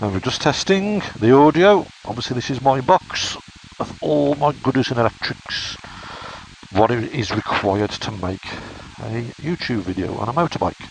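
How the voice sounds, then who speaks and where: Noticeable background noise sits under a voice that moves at a moderate pace with very wide pitch swings. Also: man, medium pitch for a man. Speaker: motorcycle vlogger. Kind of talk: product review vlog.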